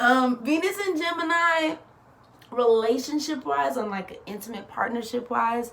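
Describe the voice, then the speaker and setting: With noticeable background noise behind her, a woman uses a high pitch, very wide pitch swings, big swings in loudness and an animated tone. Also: moderate pace. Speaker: astrologer. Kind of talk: casual explainer monologue.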